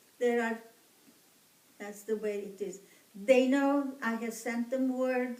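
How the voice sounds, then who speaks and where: A woman's fairly high voice in an Armenian accent, very slow and fairly even in intonation, with long, frequent pauses, big swings in loudness and audible room echo. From Egypt. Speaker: genocide survivor descendant interviewee. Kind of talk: interview.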